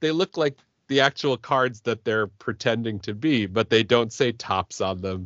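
A man speaks at a fairly slow pace with a medium pitch. He has an unremarkable speaking voice. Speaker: podcast host. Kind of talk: casual chat.

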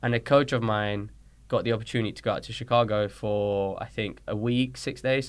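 A man talks at a fairly quick pace with a London accent. His pitch is fairly low and his intonation fairly even. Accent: British (London) English. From Colombia, raised in London from age six. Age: 30s. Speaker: soccer coach and trainer. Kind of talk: casual interview.

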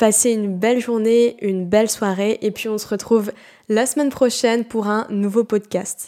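A woman with a plain, everyday voice talks at a fairly slow pace, her fairly high pitch carried on fairly even intonation. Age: 20s. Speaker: naturopath and health podcaster. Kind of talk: solo educational podcast monologue. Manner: casual, conversational with fillers.

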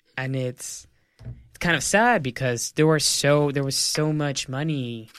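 Recorded very cleanly against a silent background, a man with an American accent speaks at a medium pitch and fairly slow pace with fairly even intonation. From El Paso, Texas. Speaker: journalist and news host. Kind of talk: casual interview.

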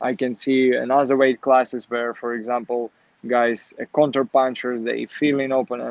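A man speaks with a Ukrainian accent at a moderate pace. His intonation is monotone and flat. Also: medium pitch for a man. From Ukraine, Kharkiv. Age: 20s. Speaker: professional boxer. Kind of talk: interview. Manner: halting.

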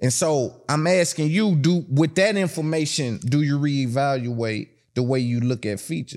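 In a Tennessee accent, a man with a fairly high voice talks at a moderate pace with lively intonation and hardly any pauses. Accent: Southern US, Tennessee. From Tennessee, US South. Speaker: podcast host. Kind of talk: casual interview chat.

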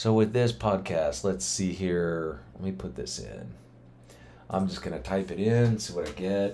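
At a fairly slow pace, a man with a very deep, low pitch and a dark, mellow tone speaks with lively intonation. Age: 50s. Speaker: podcast host. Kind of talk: casual monologue. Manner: loose, halting with fillers.

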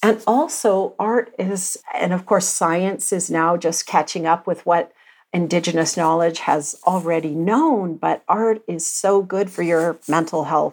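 With a Canadian accent and an ordinary speaking voice, the speaker goes at a fairly slow pace with ordinary pitch variation and hardly any pauses, on a very clean recording with a silent background. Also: woman, fairly low pitch for a woman. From Alberta, Canada. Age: 50s. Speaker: visual artist. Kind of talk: interview.

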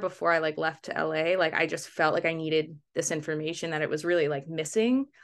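A woman speaks with a Mid-Atlantic accent in a bright, sharp tone. The background is quiet. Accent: American, Mid-Atlantic. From US East Coast, Baltimore. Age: 30s. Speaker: documentary photographer. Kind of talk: interview. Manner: hesitant, many fillers.

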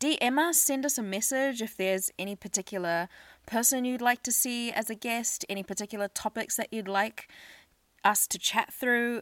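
Delivered at a moderate pace with ordinary pitch variation, the voice has a dry, close sound with no echo on a very clean recording with a silent background. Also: woman, fairly high pitch for a woman. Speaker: podcast host. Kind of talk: casual chat.

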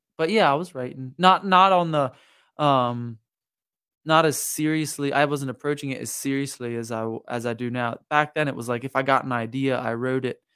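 A man with an American accent speaks in a plain, everyday voice at a medium pitch and moderate pace, with ordinary pitch variation, on a very clean recording with a silent background. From Lancaster County, Pennsylvania, US. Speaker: singer-songwriter. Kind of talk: casual interview chat. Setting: studio.

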